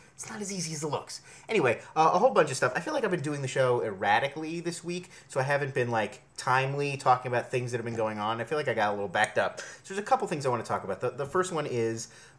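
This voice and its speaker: A fairly high male voice at a very fast pace, with lively intonation and hardly any pauses, over noticeable background noise. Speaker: vlogger reviewing media. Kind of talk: casual vlog monologue. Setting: home, talking into computer camera. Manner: quiet, kept down; rambling, filler-heavy. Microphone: built-in computer camera mic.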